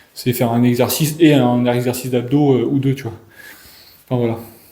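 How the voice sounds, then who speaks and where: A man's dark, mellow, medium-pitched voice with fairly even intonation and audible room echo. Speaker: fitness coach. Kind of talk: casual chat. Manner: fast; halting. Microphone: echo in the room.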